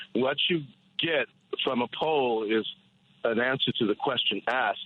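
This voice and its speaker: A man speaks in a plain, everyday voice at medium pitch. His loudness stays very even, with ordinary pitch variation. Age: 60s. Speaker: caller. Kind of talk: political call-in rant. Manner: rapid, run-on with repetitions.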